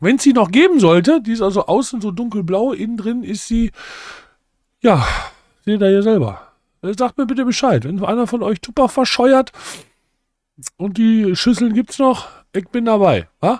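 Speaking at a moderate pace with long, frequent pauses, a man uses a high voice with ordinary pitch variation, recorded dry with no echo over a quiet background. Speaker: cooking video creator. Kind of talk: casual cooking tutorial. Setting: home kitchen. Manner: animated. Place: home room. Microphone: studio mic.

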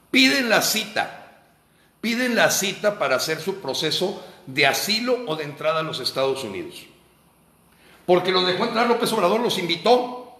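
Raised and projected, a man's high voice sounds animated, with lively intonation at a moderate pace and audible room echo. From Mexico. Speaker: political activist. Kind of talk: monologue commentary. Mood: indignant, critical. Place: home room. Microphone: phone near.

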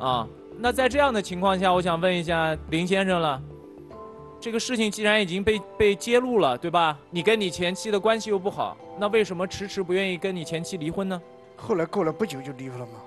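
A man talks at a fairly quick pace with a high pitch and ordinary pitch variation. Music is clearly heard in the background. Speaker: show mediator or host. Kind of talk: interview questioning. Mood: probing, mildly challenging. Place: studio. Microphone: lapel.

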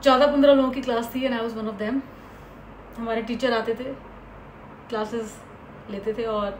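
In a Hindi accent, a woman speaks at a fairly high pitch with monotone, flat intonation and long, frequent pauses. Audible room echo and light background noise are present. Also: moderate pace. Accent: Hindi accent in English, full. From India, Uttar Pradesh. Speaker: actress and vlogger; actress, vlogger. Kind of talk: personal story vlog. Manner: Hindi-English code-switching. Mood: reflective, candid. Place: home room. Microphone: phone near.

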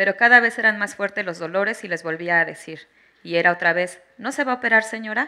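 In a Mexican accent, a woman speaks fairly quickly with a bright, sharp tone and ordinary pitch variation against a quiet background. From Mexico. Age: 30s. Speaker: mother giving testimony on obstetric violence; witness. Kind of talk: testimony. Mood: serious, emotional. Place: hall. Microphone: handheld.

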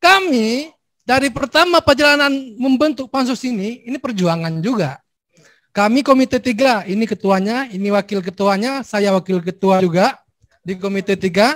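Against a quiet background, a man speaks at a high pitch with lively intonation. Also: moderate pace. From Aceh. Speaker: legislator chairing a hearing. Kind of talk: formal hearing, casual Indonesian. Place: hall. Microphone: handheld.

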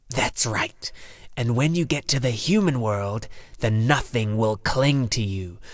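A put-on character voice in a low-to-middle pitch unfolds at a fairly slow pace. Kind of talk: audiobook character acting. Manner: menacing, mocking, weary.

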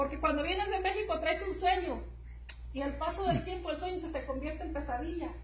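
A woman speaks fairly quickly in an animated tone, her pitch extremely high, with noticeable background noise behind her. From rural Jalisco, Mexico. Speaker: network marketing distributor; presenter. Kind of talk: motivational talk. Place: meeting room. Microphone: camera far.

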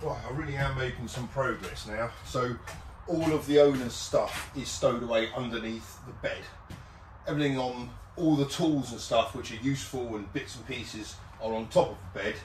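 There is light background noise and audible room echo as a man speaks. His pace is moderate, and his loudness swings widely. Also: ordinary pitch variation. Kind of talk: casual vlog chat. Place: boat.

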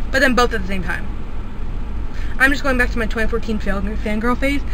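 With noticeable background noise and a dry, echo-free sound, a woman speaks at a high pitch with fairly even intonation. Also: fairly quick pace. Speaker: vlogger. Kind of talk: casual vlog talk to camera. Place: car. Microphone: phone near.

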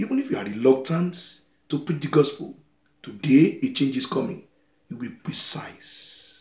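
A somewhat breathy man at a moderate pace, with audible room echo against a quiet background. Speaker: preacher. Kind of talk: sermon. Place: home room. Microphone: phone near.

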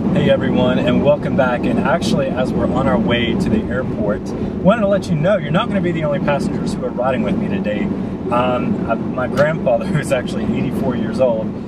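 Over loud background noise, a man talks at a fairly quick pace with hardly any pauses, and the sound is dry with no echo. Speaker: aviation vlogger. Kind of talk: casual vlog chat. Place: car. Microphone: camera far.

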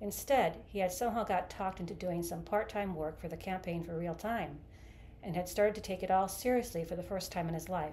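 The unforced reading voice shows ordinary pitch variation.

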